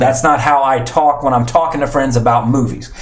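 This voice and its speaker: A man with a medium-pitched voice speaks in a room with audible echo and noticeable background noise. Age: 30s. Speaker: podcast host. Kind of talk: casual chat.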